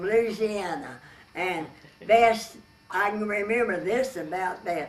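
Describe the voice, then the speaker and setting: Noticeable noise sits in the background. A woman talks at a medium pitch. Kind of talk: oral history interview answer.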